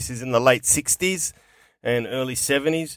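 A man with an Australian accent speaks at medium pitch and a moderate pace, with ordinary pitch variation. The recording is very clean and silent in the background, dry and close with no echo. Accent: broad working-class Australian. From Melbourne, Australia, Greek heritage. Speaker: comedian and radio host. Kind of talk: casual interview chat. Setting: studio podcast. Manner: hesitant, many fillers.

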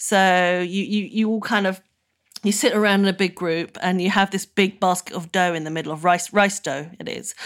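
A woman with a British accent at medium pitch and moderate pace, fairly even in intonation, on a very clean recording with a silent background. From UK, Burmese family. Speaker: food writer. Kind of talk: interview.

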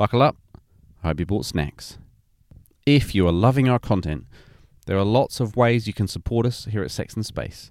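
In a very clean recording with a silent background, a man with a British accent talks at a fairly low pitch. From UK. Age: 40s. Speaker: podcast host. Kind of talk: casual interview; podcast intro.

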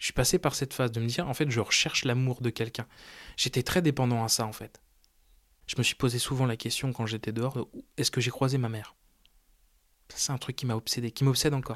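Very fast speech from a man at medium pitch, with fairly even intonation, long and frequent pauses, and a dry, close sound with no echo in a very clean recording with a silent background. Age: 20s. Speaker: adoptee searching for birth mother. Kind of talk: personal testimony.

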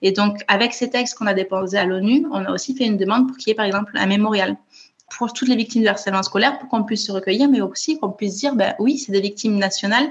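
Speaking very fast, a woman keeps a fairly high voice with fairly even intonation. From France, Toulouse. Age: 30s. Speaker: author and bereaved sister. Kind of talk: interview testimony. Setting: remote call.

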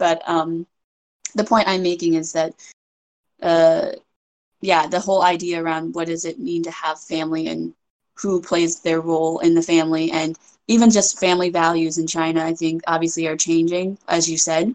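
In an American accent, a woman speaks at a fairly low pitch with monotone, flat intonation. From US, New Hampshire. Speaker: Chinese adoptee. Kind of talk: casual discussion.

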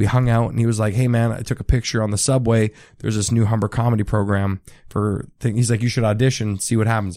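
Speech comes at a very fast pace with an Ontario accent and a dark, mellow tone. The intonation stays monotone and flat over a very clean recording with a silent background. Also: man, medium pitch for a man. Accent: Canadian (Ontario). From Ontario, Canada (Richmond Hill, near Toronto). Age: 20s. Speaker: stand-up comedian. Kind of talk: casual chat. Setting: host's apartment.

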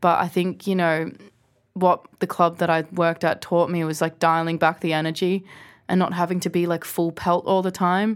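With an Australian accent, a woman speaks at a moderate pace in a fairly low, monotone, flat voice, on a very clean recording with a silent background. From Australia, small town. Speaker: DJ. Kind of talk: casual interview chat. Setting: studio.

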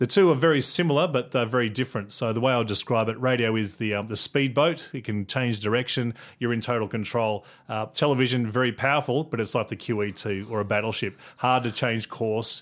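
Ordinary pitch variation and a fairly quick pace come through in a very clean recording with a silent background. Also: man, medium pitch for a man. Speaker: communications director. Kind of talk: interview. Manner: halting, filler words.

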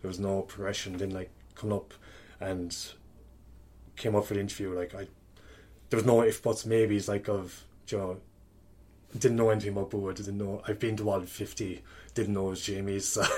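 A fairly low-pitched man with a strong Kerry accent talks at a fairly quick pace, broken by long, frequent pauses. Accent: strong Kerry Irish. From Kerry, Ireland. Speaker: coach. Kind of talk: casual chat. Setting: in person, recorded in a room. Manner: animated, swears often.

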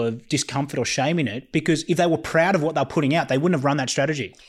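Talking at a very fast pace, a man uses an Australian accent and a fairly high pitch with ordinary pitch variation. The recording is very clean, with a silent background. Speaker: podcast co-host. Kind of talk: casual chat. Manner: halting, frequent repetitions.

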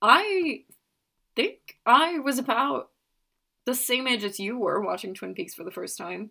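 In an American accent, a woman with a high pitch and a bright, sharp tone speaks at a fairly slow pace with long, frequent pauses. Her pitch swings very widely and her loudness varies greatly. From Norway and US. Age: 20s. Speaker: TV expert. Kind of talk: casual chat.

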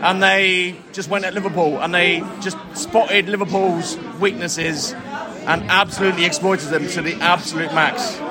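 Over noticeable background noise, a man talks at a moderate pace in a high pitch with ordinary pitch variation. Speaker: football fan. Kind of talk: post-match analysis.

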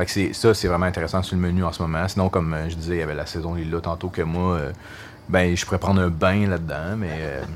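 Man's very deep, low voice at a fairly quick pace, with audible room echo. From Quebec, Gatineau area. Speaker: brewery marketing director. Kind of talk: casual interview. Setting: stage with audience. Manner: animated.

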